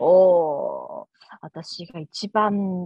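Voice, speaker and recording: A woman speaks with ordinary pitch variation. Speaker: custom cake business owner. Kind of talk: casual interview chat. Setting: video call. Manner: animated, laughs often.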